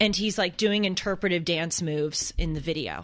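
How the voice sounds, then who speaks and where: A woman with an American accent at a fairly quick pace with ordinary pitch variation. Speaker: podcast co-host. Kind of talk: casual chat.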